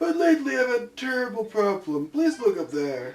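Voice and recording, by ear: A man puts on a character voice at an extremely high pitch with very wide pitch swings. He moves at a fairly quick pace.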